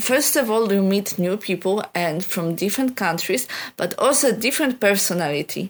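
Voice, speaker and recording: Speaking at a fairly slow pace with a non-native accent, a woman has lively intonation. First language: not English. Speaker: youth project leader. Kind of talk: recorded personal report. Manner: halting.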